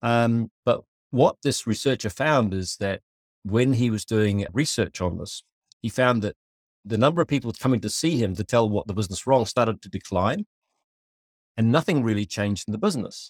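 A man with a New Zealand accent speaks at a medium pitch, leaving long, frequent pauses. The recording is very clean with a silent background and a dry, close sound with no echo. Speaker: company founder and CEO. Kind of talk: interview conversation. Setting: office.

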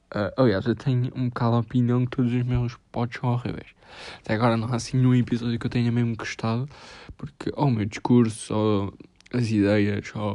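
Speaking with a European Portuguese accent, a man delivers his words at a fairly quick pace in a medium pitch, with monotone, flat intonation, a dark, mellow tone and a quiet background. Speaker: podcaster. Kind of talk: casual monologue.

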